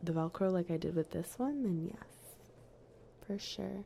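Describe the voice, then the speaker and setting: This woman has a dark, mellow tone. Her pitch sits fairly low. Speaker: ASMR streamer. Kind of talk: casual chat with stream viewers. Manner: whispered, soft.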